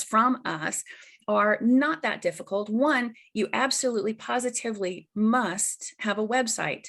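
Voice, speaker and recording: An unremarkable speaking voice from a woman, fairly high in pitch with ordinary variation, at a fairly slow pace against a quiet background. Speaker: marketing consultant for mediators. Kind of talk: webinar presentation.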